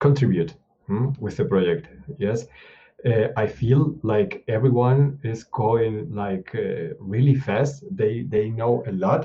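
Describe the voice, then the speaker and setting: Speaking very slowly, a man uses lively intonation at a medium pitch. His voice is somewhat breathy. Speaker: open source contributor. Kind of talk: mentoring video call. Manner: halting, many hesitations.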